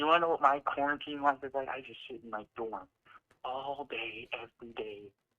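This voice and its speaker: A man with a plain, everyday voice speaks at a fairly quick pace and a fairly high pitch. His loudness swings widely, while his pitch varies in an ordinary way. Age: young. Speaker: college student. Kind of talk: casual chat. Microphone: echoing audio.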